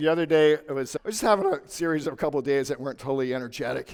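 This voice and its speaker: An ordinary speaking voice, a man's fairly high pitch with ordinary pitch variation, in a very clean recording with a silent background. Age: 60s. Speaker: lawyer and business owner. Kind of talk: conference talk.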